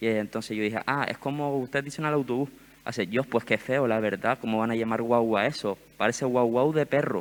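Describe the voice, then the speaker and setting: In a very clean recording with a silent background, a man talks at a fairly quick pace in a medium pitch. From Gran Canaria. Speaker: summer university panel participant. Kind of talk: panel discussion. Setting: stage with audience. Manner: animated.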